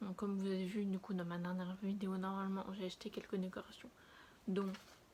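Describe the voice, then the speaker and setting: Her intonation is monotone and flat. The woman speaks at a medium pitch and a fairly quick pace. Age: 20s. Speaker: lifestyle vlogger. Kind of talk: casual vlog chat. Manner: hesitant, many fillers.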